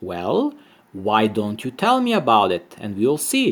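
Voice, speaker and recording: A man's put-on character voice, medium in pitch, at a fairly slow pace. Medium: read story. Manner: bold, cheerful.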